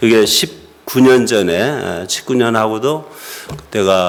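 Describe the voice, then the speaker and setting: A man's fairly low-pitched voice at a fairly slow pace with lively intonation, audible room echo and noticeable background noise. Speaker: pastor. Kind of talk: sermon.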